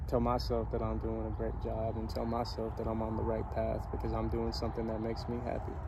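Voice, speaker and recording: In a room with audible echo, a man talks very fast in a very deep, low voice with flat, monotone intonation. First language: not English. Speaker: motivational vlogger. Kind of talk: casual motivational monologue. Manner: hesitant, many fillers.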